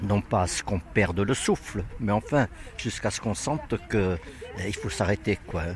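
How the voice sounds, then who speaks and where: Noticeable background noise sits behind a man talking at a moderate pace. His intonation is lively. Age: 80s+. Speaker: workshop participant. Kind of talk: interview.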